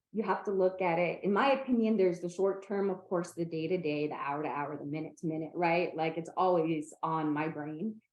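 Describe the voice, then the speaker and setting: An American woman with an ordinary speaking voice and a fairly low pitch talks at a fairly quick pace with hardly any pauses. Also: ordinary pitch variation. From Northern California. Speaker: person with epilepsy, advocate. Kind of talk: interview conversation.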